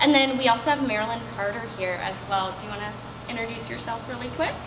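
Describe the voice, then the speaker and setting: Very fast speech from a woman, with audible room echo and noticeable background noise. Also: big swings in loudness. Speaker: substance use educator. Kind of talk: presentation. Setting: room with live audience, no microphone. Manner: loud.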